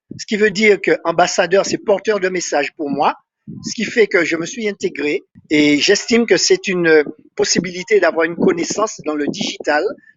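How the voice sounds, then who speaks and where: His pitch high, a man speaks with ordinary pitch variation. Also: moderate pace. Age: 60s. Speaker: telecom technician and sea rescue volunteer. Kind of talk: interview.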